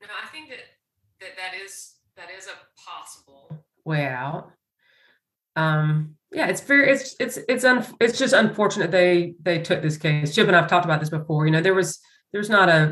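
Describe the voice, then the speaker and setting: A woman with an American accent speaks in a fairly low pitch at a moderate pace, with lively intonation and big swings in loudness. It is an unremarkable speaking voice, set against a quiet background. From US South. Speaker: religious liberty lawyer. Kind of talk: roundtable discussion.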